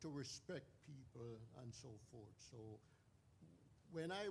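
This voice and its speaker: A man's somewhat breathy voice at a medium pitch, with ordinary pitch variation. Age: 80s+. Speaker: audience member, addiction recovery counselor. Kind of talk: audience comment during Q&A.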